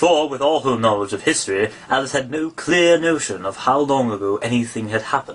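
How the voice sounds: Lively intonation colors a natural reading voice.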